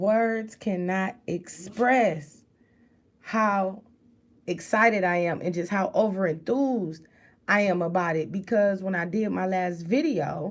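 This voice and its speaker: Very slowly, a woman speaks at medium pitch with ordinary pitch variation, in a very clean recording with a silent background. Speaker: online show host. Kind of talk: casual livestream talk.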